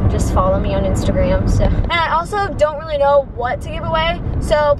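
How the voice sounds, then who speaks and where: Over loud background noise, someone talks at a fairly quick pace, the sound dry with no echo. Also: woman. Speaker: vlogger. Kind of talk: casual vlog chat. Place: car. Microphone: phone near.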